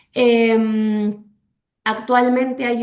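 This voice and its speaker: Woman's voice, fairly high in pitch. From Argentina. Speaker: legal specialist speaker. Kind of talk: webinar presentation. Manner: halting with fillers.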